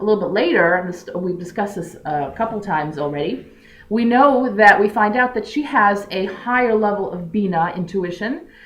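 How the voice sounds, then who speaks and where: A woman of medium pitch talks with lively intonation over audible room echo. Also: moderate pace. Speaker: religious teacher. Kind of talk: lecture.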